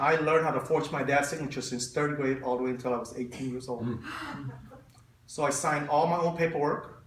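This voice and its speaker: In a non-native accent, a man with a fairly high pitch talks at a very fast pace with fairly even intonation, against noticeable background noise and audible room echo. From Stockton, California, US (refugee child from Southeast Asia). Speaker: refugee speaker sharing life story. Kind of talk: personal testimony. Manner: halting with fillers.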